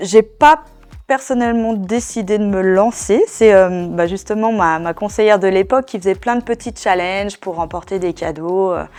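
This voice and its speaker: Background music beneath a woman speaking with ordinary shifts in pitch. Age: 40s. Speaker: network marketing seller. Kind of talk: testimony. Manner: hesitant, many fillers.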